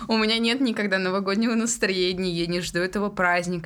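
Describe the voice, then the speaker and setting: A woman's ordinary speaking voice, medium in pitch, fairly quick, with fairly even intonation. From Tyumen region, Russia. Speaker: podcast co-host. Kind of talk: casual chat.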